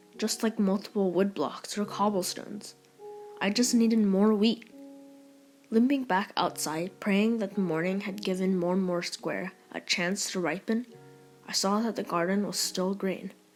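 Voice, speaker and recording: A woman at a fairly slow pace and fairly even intonation, with music in the background. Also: medium pitch for a woman. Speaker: audiobook narrator. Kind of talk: audiobook reading.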